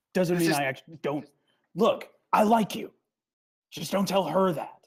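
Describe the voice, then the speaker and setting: In a raspy, put-on character voice, the speaker goes at a moderate pace with a middle pitch. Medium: actual play. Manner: blunt, impatient.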